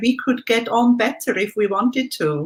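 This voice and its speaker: A woman's lively intonation comes through in a very clean recording over a silent background. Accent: German. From Switzerland. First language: German. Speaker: life coach and former tour guide. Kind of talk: interview.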